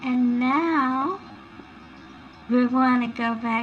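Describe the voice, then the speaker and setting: A soft-spoken woman with a high pitch, with music in the background. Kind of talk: ASMR recipe roleplay. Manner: soft-spoken, relaxing.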